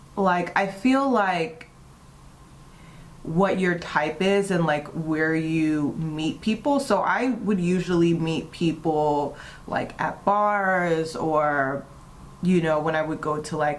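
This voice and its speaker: At a very slow pace, a woman speaks in a fairly low pitch with ordinary pitch variation. Room echo can be heard. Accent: American. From US East Coast (DC/Maryland/Virginia area). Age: 30s. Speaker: beauty vlogger and model. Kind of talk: casual chat during makeup tutorial.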